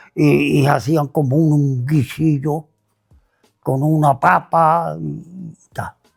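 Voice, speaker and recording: Over music in the background, a man talks at a very slow pace. His pitch is fairly high and his intonation fairly even. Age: 80s+. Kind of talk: interview answer, life story.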